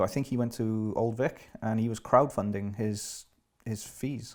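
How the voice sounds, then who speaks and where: A man speaks at medium pitch with a Welsh accent. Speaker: actor. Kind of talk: casual chat.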